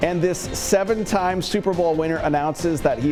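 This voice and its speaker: A man speaks at a fairly high pitch while music plays in the background. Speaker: television news anchor and reporter. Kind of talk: TV news anchor read, studio newscast. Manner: polished, professional.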